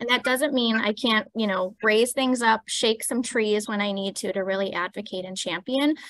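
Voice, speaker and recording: A woman's fairly high voice at a moderate pace with ordinary pitch variation, in a dry, close sound with no echo. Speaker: panelist, healthcare leader. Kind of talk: panel discussion. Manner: soft-spoken.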